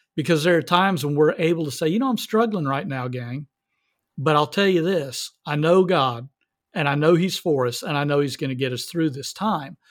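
With a normal speaking voice and an American accent, a man talks at a fairly high pitch and a fairly quick pace with ordinary pitch variation, in a very clean recording with a silent background. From US South. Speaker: pregnancy center fundraising specialist. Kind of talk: reading aloud; interview.

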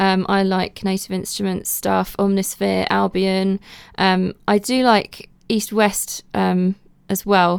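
In a very clean recording with a silent background, a woman speaks at a medium pitch and a very slow pace with monotone, flat intonation. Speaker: media composer. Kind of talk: interview answers.

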